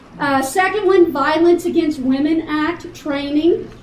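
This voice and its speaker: A woman speaks with a high pitch. The room echo is audible, and there is noticeable background noise. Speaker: college staff trainer presenting to faculty. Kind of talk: orientation presentation.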